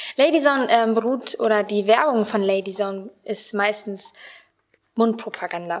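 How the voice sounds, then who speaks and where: An ordinary speaking voice at a moderate pace with ordinary pitch variation. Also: woman, fairly high pitch for a woman. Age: 20s. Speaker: Bible school student and youth volunteer. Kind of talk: radio interview.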